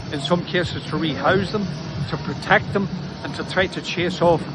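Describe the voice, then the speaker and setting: With a Northern Irish accent, a man speaks in a high voice at a moderate pace with ordinary pitch variation over noticeable background noise. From Northern Ireland. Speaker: socialist party workplace organiser. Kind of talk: political statement to camera.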